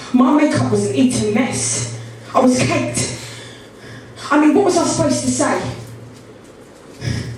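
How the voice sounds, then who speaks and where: A woman speaks at a fairly slow pace with very even loudness, over noticeable background noise. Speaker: spoken word poet. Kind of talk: spoken word poetry performance. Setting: live poetry event.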